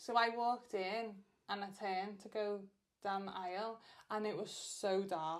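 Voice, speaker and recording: Audible room echo surrounds this recording. A woman talks at a moderate pace and medium pitch. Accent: northern English. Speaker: podcast co-host. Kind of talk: casual chat. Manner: loud; animated.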